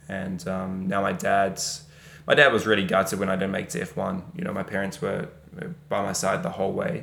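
Here a man speaks with a New Zealand accent at a moderate pace. His pitch is fairly low, with ordinary variation. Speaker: racing driver. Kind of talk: casual chat.

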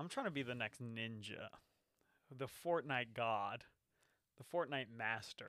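Pausing long and often, a man talks at a fairly slow pace in a medium pitch with ordinary pitch variation and a bright, sharp tone. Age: 20s. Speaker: podcast co-host. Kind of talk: casual chat. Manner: animated.

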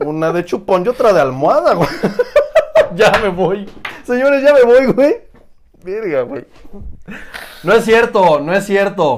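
Pausing long and often, a man with a high pitch speaks at a fairly slow pace with very wide pitch swings. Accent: Mexican. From Oaxaca, Mexico. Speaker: fitness coach. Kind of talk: casual chat. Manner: animated.

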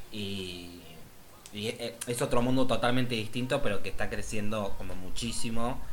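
A man with a Rioplatense accent speaks at a moderate pace in a medium pitch, his intonation fairly even, over noticeable background noise. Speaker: podcast co-host. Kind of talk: casual chat.

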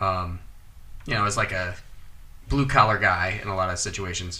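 Bright, sharp tone from a man, pitch varying in an ordinary way. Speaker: podcast host. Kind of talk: casual chat.

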